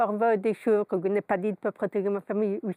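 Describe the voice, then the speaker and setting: A woman speaks in a fairly high voice with a dark, mellow tone. The sound is dry and close with no echo, over a quiet background. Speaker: lawyer and coach. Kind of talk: interview. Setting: studio.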